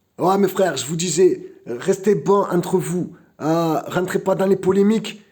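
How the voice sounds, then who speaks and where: This man's voice sits high and has a dark, mellow tone, with ordinary pitch variation. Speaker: vlogger. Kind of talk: casual live vlog. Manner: halting, repeats words.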